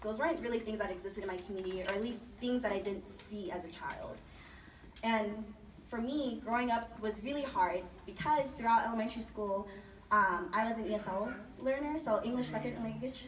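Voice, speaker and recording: There is noticeable background noise and audible room echo as a woman talks at a fairly high pitch and a fairly quick pace with ordinary pitch variation. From Las Vegas, Nevada. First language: Chinese. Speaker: program alumna, student speaker. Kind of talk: personal testimony speech. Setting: party event with audience. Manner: loud, projecting.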